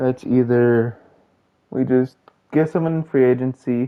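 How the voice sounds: Speaking at a slow pace, a man uses a medium pitch with ordinary pitch variation.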